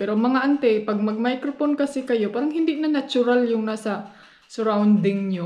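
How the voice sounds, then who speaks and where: The speaker is a soft-spoken woman. She talks at a moderate pace. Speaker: vlogger, housewife. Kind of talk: casual vlog chat. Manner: quiet, soft voice. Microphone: no external microphone, voice comes out quiet.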